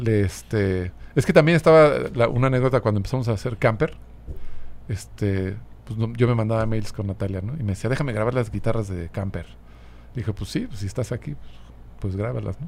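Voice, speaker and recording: With an unremarkable speaking voice, a man of fairly low pitch talks at a fairly quick pace with lively intonation. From Mexico City. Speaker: musician. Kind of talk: casual chat.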